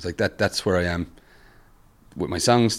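A man speaks at a very fast pace with ordinary pitch variation. His pitch is very deep and low, and the recording is very clean with a silent background. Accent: Limerick. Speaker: musician and music teacher. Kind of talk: interview. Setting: in person at a university.

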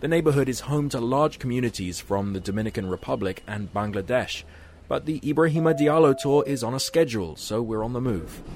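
In a plain, everyday voice, a man at medium pitch talks at a fairly quick pace with lively intonation. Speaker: radio reporter. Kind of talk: scripted radio feature narration. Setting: outdoors on location in New York.

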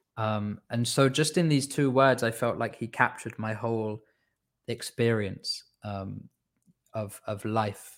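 A man with a Welsh accent and fairly even intonation, on a very clean recording with a silent background. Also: medium pitch for a man, fairly slow pace. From Wales, Swansea. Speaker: devotional musician. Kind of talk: casual chat.

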